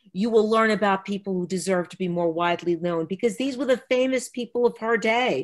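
A woman with an American accent and ordinary pitch variation, against a quiet background. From Texas. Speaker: children's book author. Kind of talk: author talk. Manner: animated. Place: home room. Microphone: webcam.

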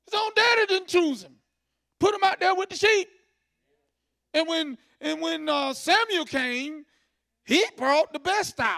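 A man with an extremely high pitch speaks in an animated tone at a fairly slow pace, with long, frequent pauses against a quiet background. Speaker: preacher. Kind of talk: sermon, Bible study teaching with call-and-response "amen". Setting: church. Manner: animated, repetitive, preacherly cadence with frequent "amen". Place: church. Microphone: handheld.

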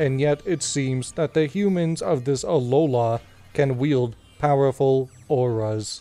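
A man uses a put-on character voice in a serious tone. His pitch sits in the medium range and he talks at a fairly slow pace. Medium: game stream. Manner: stiff, formal, serious.

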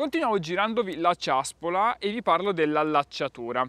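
A high-pitched man, fairly quick, with lively intonation and a dry sound with no echo. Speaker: gear reviewer. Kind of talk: product review talk. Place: garden.

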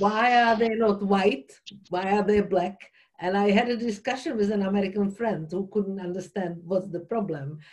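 Against a quiet background, a woman with a Czech accent talks at a moderate pace with ordinary pitch variation. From Czech Republic (Prague). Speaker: workshop participant. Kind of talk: group discussion. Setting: video call. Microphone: video call.

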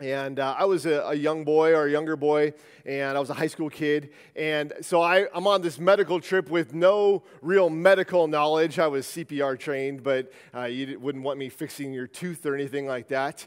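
A man talks with fairly even intonation, and the background is quiet. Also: moderate pace. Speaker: preacher. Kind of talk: sermon. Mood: earnest, reflective. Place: church. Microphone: headset.

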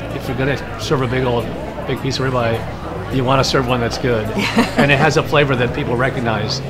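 Crowd noise fills the background. A man speaks at a fairly quick pace. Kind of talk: interview answer. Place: cafe. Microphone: lapel.

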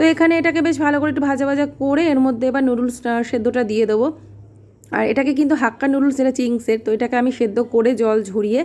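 With very even loudness, a woman talks at a high pitch with ordinary pitch variation. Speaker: vlogger, homemaker. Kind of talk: casual vlog narration.

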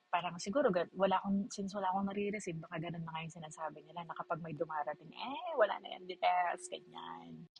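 A woman talks at a very fast pace with hardly any pauses, in a fairly low voice. Her pitch variation is ordinary, with big swings in loudness. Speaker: vlogger. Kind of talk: casual chat. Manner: animated.

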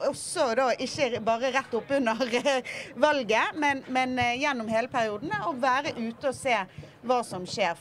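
The speech comes at a moderate pace with light background noise. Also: woman. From Bergen, western Norway. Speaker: politician. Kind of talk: panel discussion. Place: boat. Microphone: handheld.

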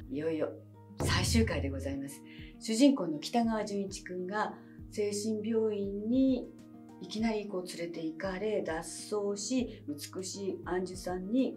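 At a fairly slow pace, a woman speaks with faint music in the background. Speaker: actress. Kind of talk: casual talk to camera. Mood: warm, cheerful. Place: studio.

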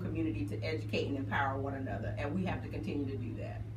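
With an American accent, a woman talks at a very fast pace over noticeable background noise. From US South. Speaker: radio host; radio co-host. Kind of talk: casual chat. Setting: studio. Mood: warm, encouraging. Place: studio.

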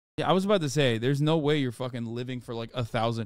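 Against a quiet background, a man talks at a very fast pace. The sound is dry, with no echo. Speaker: livestreamer. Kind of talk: casual stream commentary reacting to chat. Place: home room. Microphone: studio mic.

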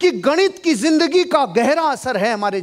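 His pitch swings very widely. He talks at a fairly slow pace. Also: quiet background. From India. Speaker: motivational speaker. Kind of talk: motivational seminar talk. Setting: hall with live audience. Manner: animated. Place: hall. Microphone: headset.

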